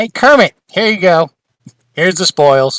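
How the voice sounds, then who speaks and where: Someone does a put-on character voice at a middle pitch and a moderate pace. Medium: actual play. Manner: brash, grabby.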